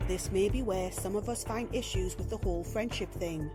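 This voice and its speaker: A woman with a British accent at a fairly slow pace, music in the background. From England. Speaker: narrator. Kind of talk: self-help video narration.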